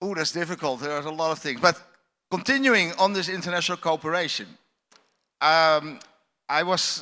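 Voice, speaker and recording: Bright, sharp, high-pitched male speech in a Dutch accent, moderate in pace with ordinary pitch variation, in a very clean recording with a silent background. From Netherlands. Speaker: astronaut. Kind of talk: panel discussion.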